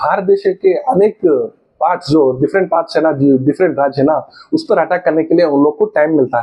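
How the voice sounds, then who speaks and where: This man speaks at a moderate pace. His pitch is high. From South India. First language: a South Indian language, not Hindi (speaking Hindi). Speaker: history educator, YouTuber. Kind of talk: lecture. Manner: halting, many fillers.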